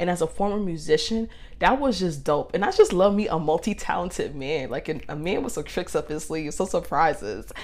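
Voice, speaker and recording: Delivered at a fairly quick pace with hardly any pauses, the voice has an animated tone. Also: woman. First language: not Spanish (English). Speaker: podcast host. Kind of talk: casual monologue storytelling.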